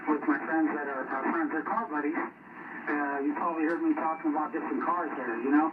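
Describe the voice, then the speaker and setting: A man's fairly high voice at a fairly quick pace, fairly even in intonation with hardly any pauses, amid noticeable background noise. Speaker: CB radio operator. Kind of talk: radio chat. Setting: radio transmission. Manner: loud.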